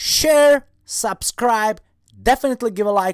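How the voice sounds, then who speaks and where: An animated man talks with a non-native accent in a dry, close recording with no echo, very clean against a silent background. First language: not English. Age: 40s. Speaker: online seller and YouTuber. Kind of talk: casual vlog talk to camera. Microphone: new microphone.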